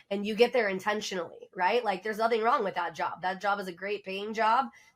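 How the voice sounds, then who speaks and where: On a very clean recording with a silent background, a woman speaks at a medium pitch in an animated tone. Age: 40s. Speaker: podcast host, loan officer. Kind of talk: casual chat. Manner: loud.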